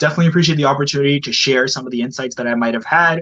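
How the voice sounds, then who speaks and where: A man with a Canadian accent speaks in a bright, sharp tone. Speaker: sports marketing coordinator. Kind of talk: podcast interview. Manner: fast.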